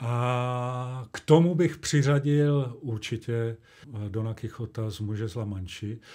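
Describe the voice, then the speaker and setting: On a very clean recording with a silent background, a man speaks at a very slow pace in a dark, mellow tone. His pitch is medium with ordinary variation, and his loudness swings widely. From Czechia, Olomouc (Moravia). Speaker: actor and dubbing director. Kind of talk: interview.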